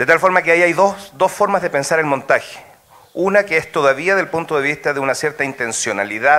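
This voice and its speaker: The pace of this man's speech is fairly quick. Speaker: audience member asking a question. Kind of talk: academic Q&A question. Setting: auditorium with audience. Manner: fast.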